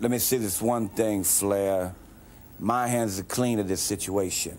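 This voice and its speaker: A man talks in a plain, everyday voice. His pace is fairly slow and his intonation fairly even. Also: fairly low pitch for a man. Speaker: professional wrestler. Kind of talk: wrestling promo interview.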